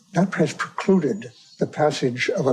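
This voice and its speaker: A man's fairly slow, lively-toned speech in an American accent, with noticeable background noise. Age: 80s+. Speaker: whistleblower. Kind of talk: tribunal testimony.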